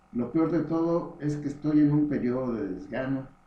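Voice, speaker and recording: In a room with audible echo, a man with a fairly high pitch talks at a fairly slow pace with ordinary pitch variation. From Mexico, Morelia, Michoacán. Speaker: memoir author. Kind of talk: reading aloud.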